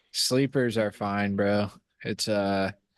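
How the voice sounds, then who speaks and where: The voice is a man's, fairly low in pitch. He talks at a fairly slow pace. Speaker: podcast co-host. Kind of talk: casual chat. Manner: monotone.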